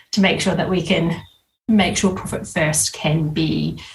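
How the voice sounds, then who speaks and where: A woman with an Australian accent. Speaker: business coach and bookkeeper. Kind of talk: podcast interview. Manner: hesitant, many fillers.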